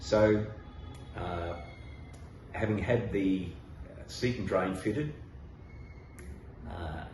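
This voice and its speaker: A man with an Australian accent speaks at a very slow pace with ordinary pitch variation, amid noticeable background noise and audible room echo. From Western Australia. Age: 70s. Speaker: patient. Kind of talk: testimony. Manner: halting.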